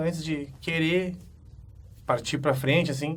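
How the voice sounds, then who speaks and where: The speaker has a Gaúcho Brazilian accent and a fairly slow pace. Audible room echo surrounds the voice. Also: man. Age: 20s. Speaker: pro wrestler. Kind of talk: interview monologue. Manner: casual, hesitant with fillers.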